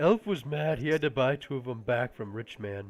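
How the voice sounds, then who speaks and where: In a put-on character voice, the man talks at a mid-range pitch. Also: moderate pace, very clean recording, silent background. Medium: actual play. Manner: simple, clipped grammar.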